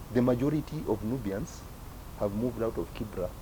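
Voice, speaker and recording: A man talks at a fairly quick pace in a medium-pitched, somewhat breathy voice with a dark, mellow tone. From Kenya, Nubian community of Nairobi. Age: 60s. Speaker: author and community elder. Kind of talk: talk to young community members. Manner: animated, rhetorical questions.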